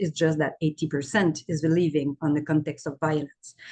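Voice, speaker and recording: Her voice sits fairly low for a woman, and she keeps to a moderate pace. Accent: French. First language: French. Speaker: aid country director. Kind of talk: webinar panel talk. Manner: halting.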